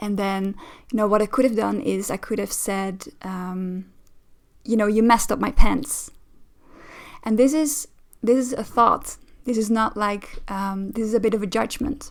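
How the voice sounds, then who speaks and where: A woman with a Dutch accent speaks at a moderate pace in a fairly high voice with ordinary pitch variation. Her long, frequent pauses stand out on a very clean recording with a silent background. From Netherlands. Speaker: relationship coach. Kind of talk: reaction commentary. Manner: hesitant, many fillers.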